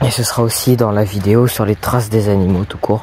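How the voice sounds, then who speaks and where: A man speaks at a moderate pace with a fairly low pitch and monotone, flat intonation. Noticeable background noise can be heard. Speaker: nature vlogger. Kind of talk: casual vlog narration outdoors. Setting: outdoors at night.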